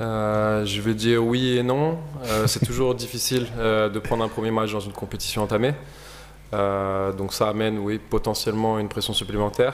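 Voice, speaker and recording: A man talks at a fairly quick pace with a fairly low pitch and fairly even intonation. The room echo is audible and there is noticeable background noise. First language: French. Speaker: basketball coach. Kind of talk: press conference. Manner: hesitant.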